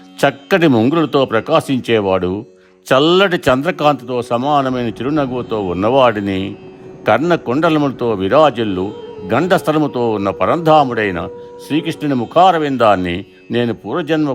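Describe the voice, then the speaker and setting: Music plays in the background behind a voice with lively intonation. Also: man. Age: old. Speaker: reciter of devotional verses. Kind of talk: storytelling explanation of verses.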